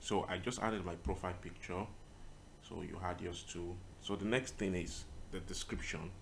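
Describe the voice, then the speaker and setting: A man's very deep, low voice with a non-native accent, somewhat breathy, at a moderate pace with long, frequent pauses, ordinary pitch variation and audible room echo. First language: not English. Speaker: tutorial creator, web designer. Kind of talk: screen-recorded tutorial. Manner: casual, with many fillers.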